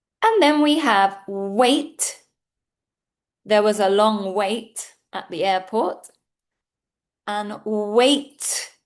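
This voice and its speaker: A woman with a British accent, fairly high in pitch, at a very slow pace. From United Kingdom. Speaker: English teacher. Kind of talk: English pronunciation lesson to camera. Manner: clear, slow.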